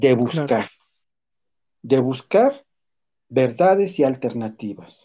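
A man talks with lively intonation and a dark, mellow tone. The background is quiet. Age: 50s. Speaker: teacher and psychologist. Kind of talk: interview.

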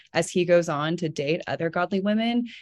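A woman with a normal speaking voice talks at a fairly low pitch and a moderate pace against a quiet background. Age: 20s. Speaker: podcast co-host. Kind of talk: casual chat. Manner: excitable.

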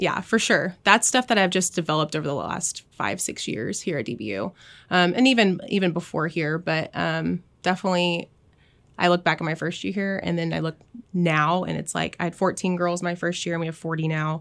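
A woman with an American accent speaks fairly quickly at a fairly low pitch, with vocal fry and ordinary pitch variation. The recording is very clean, with a silent background. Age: 20s. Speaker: college cheer coach. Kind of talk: casual chat.

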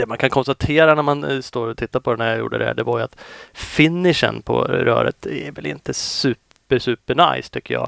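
At a moderate pace, a man talks in a dry, close sound with no echo. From Sweden. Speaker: motocross test rider and podcast host. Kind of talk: scripted review narration.

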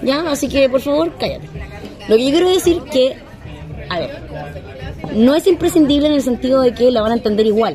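Lively intonation at a fairly quick pace in a Chilean accent, with audible room echo and crowd noise in the background. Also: woman. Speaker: podcast host. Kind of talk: casual chat. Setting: in a bar.

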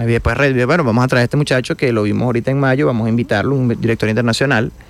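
Talking very fast, a man holds a medium pitch that rises and falls in an ordinary way. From Venezuela, Guanare. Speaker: orchestra conductor. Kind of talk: radio interview.

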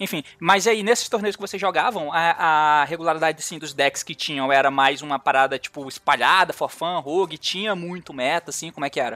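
A man talks at a fairly quick pace with hardly any pauses, a bright, sharp tone, ordinary pitch variation and big swings in loudness. The recording is very clean with a silent background and a dry, close sound with no echo. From Brazil, Goiás. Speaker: card game content creator and podcast host. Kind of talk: casual chat.

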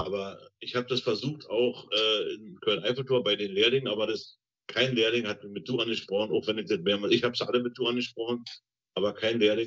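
A man speaks at a fairly quick pace. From East Germany. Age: 60s. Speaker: retired train driver, former GDR escapee. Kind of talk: interview testimony.

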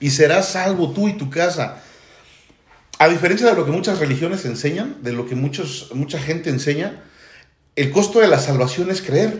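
With audible room echo, a man speaks at a moderate pace and his pitch swings very widely. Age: 40s. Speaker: church teacher. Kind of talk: church livestream testimony panel.

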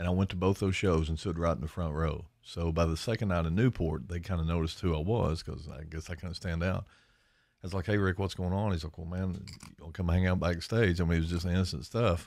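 A man's very deep, low voice in an Appalachian accent, fairly quick and fairly even in intonation, on a very clean recording with a silent background. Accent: Appalachian Kentucky. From eastern Kentucky, Lawrence County. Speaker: podcast host and country musician. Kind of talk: casual chat.

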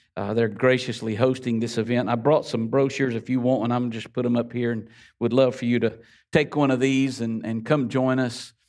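In a Florida Panhandle accent, a medium-pitched man talks at a fairly quick pace with monotone, flat intonation against a quiet background. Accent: Southern US, Florida Panhandle. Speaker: guest preacher. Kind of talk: sermon. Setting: church with congregation. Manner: warm, conversational, laughs often.

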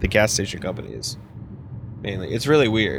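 In an unremarkable speaking voice, a man with an American accent talks at a medium pitch with ordinary pitch variation. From northern US. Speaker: podcast host, wedding photographer. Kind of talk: casual chat. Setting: in a car.

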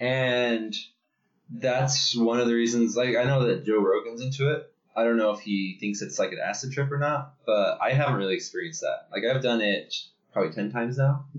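A man speaks at a fairly quick pace in an ordinary speaking voice, medium in pitch, with ordinary pitch variation. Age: 30s. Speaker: podcast co-host. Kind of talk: casual chat. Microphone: laptop built-in mic.

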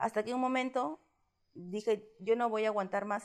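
A woman in a normal speaking voice goes at a moderate pace, her pitch varying in an ordinary way. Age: 30s. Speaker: interviewee sharing coming-out story. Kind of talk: personal testimony interview.

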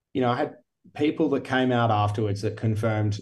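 Speaking fairly quickly with an Australian accent, a man has a dark, mellow, somewhat breathy tone and fairly even intonation. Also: quiet background. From Geelong, Victoria, Australia. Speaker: podcast host and company director. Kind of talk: casual interview chat.

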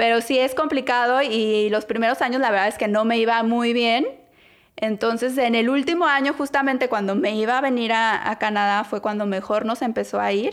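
At a moderate pace, a speaker with a Mexican accent is heard in a very clean recording with a silent background. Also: woman. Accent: Mexican Spanish (Jalisco). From Mexico, Guadalajara. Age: 30s. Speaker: podcast co-host. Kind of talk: casual chat.

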